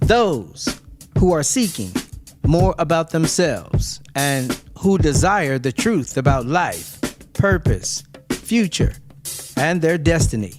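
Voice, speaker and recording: Over music in the background, a man talks very slowly at a fairly high pitch with very wide pitch swings. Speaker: minister. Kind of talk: religious teaching message.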